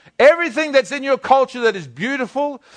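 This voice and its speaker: A man speaks fairly quickly with a New Zealand accent. The sound is dry and close with no echo, and the background is quiet. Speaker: pastor. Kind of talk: sermon. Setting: church. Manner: halting.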